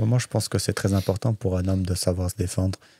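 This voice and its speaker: A very fast, somewhat breathy male voice with a dark, mellow tone and very deep, low pitch, on a very clean recording with a silent background. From France, Saint-Étienne, Chechen family. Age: 20s. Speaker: MMA fighter. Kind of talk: casual podcast interview.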